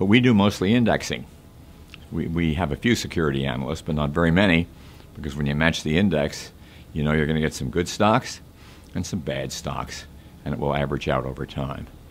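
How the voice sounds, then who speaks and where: Vocal fry runs through the voice. Light background noise can be heard. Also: man. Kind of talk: interview answer. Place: office.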